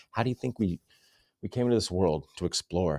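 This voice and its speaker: Dark and mellow in tone, the voice moves at a fairly quick pace with ordinary pitch variation, in a very clean, dry, close recording with no echo and a silent background. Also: man. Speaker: fitness coach. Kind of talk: sales pitch. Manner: fast; casual.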